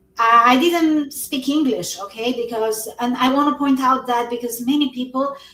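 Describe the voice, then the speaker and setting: This woman has a high pitch and fairly even intonation, talking at a moderate pace with hardly any pauses. Noticeable background noise runs throughout. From Albania. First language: Albanian. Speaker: network marketing entrepreneur. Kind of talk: interview on a live stream.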